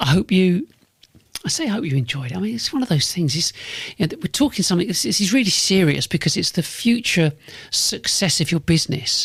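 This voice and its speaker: Fairly quick speech in a London accent, with very wide pitch swings and a dry, close sound with no echo. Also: man. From North London. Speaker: business podcast host and consultant. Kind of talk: solo podcast monologue. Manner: repetitive, restarts phrases often; fairly sharp.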